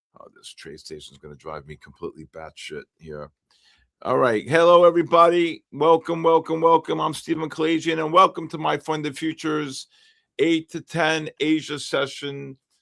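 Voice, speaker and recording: A man with a New York accent talks at a moderate pace, with big swings in loudness. The recording is very clean and dry, with a close sound, no echo and a silent background. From New York, the Bronx. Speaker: futures trading livestream host. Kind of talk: live trading stream chat. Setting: livestream.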